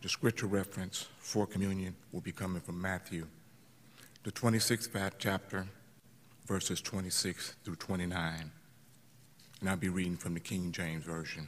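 At a fairly slow pace, a man with a very deep, low pitch speaks with fairly even intonation and long, frequent pauses. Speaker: communion leader. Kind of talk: prayer. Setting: church. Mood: solemn, measured. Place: church. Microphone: podium.

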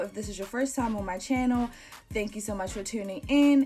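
With music in the background, a woman speaks at a fairly high pitch with lively intonation. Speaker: hairstylist and makeup artist. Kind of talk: casual talk to camera.

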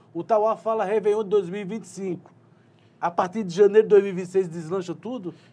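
A man's high-pitched voice with a dark, mellow tone, big swings in loudness, fairly even intonation and a moderate pace. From João Pessoa, Paraíba, Brazil; Paraíba, Brazil. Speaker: news interviewer. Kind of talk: interview. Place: studio. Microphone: lapel.

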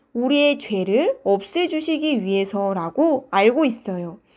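Over a quiet background, a woman speaks at a very slow pace in a fairly high pitch with very wide pitch swings. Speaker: children's ministry preacher. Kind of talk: children's sermon. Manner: animated.

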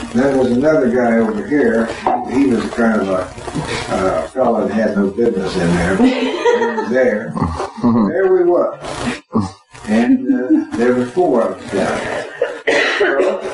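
Fairly slow speech from a man with an American accent, audible room echo and noticeable background noise. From Florida. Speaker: war veteran. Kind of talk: interview answer. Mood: emotional, reliving fear. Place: home room. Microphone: camera far.

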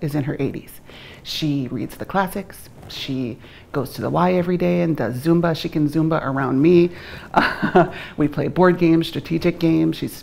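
A woman's very deep, low voice, dark and mellow in tone, with vocal fry and long, frequent pauses. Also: ordinary pitch variation, moderate pace. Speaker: guest. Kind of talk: interview answer. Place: studio.

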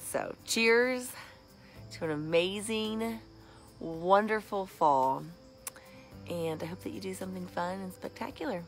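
Faint music plays behind a woman who speaks fairly slowly with long, frequent pauses and big swings in loudness, in a dry sound with no echo. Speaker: vlogger. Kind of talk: casual vlog chat. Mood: cheerful, playful. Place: garden. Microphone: phone near.

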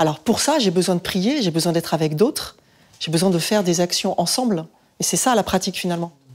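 A woman's fairly quick, fairly low-pitched delivery with ordinary pitch variation, in an ordinary speaking voice. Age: 40s. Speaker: parish volunteer. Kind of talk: casual chat. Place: home room.

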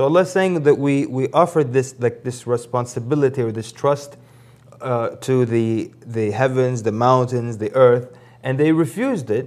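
In an ordinary speaking voice, a man holds a medium pitch, with ordinary pitch variation and a moderate pace. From grew up around the world, lived in Africa before the US. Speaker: Islamic preacher. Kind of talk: religious talk show interview. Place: studio. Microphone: lapel.

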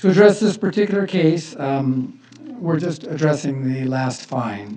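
A man talks while noticeable background noise continues behind him. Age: 60s. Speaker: business owner speaking at public comment. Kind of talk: public comment at city council meeting. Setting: city council chamber.

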